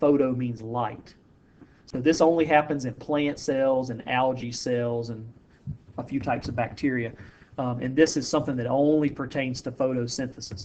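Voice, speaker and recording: A normal speaking voice belongs to this man, medium in pitch. He keeps a moderate pace and fairly even intonation. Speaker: high school biology teacher. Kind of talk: lecture. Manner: casual.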